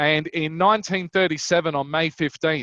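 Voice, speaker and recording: A man with a Queensland accent talks at a high pitch with fairly even intonation. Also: dry, close sound with no echo. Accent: Australian, Queensland drawl. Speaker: wine broker. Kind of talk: online wine tasting presentation. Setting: online event.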